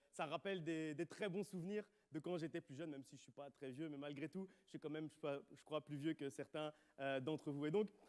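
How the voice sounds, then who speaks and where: A man with a Charleroi accent speaks at a fairly high pitch. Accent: Charleroi Belgian French. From Belgium, Charleroi (Wallonia). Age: 30s. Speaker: pastor. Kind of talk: sermon. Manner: halting.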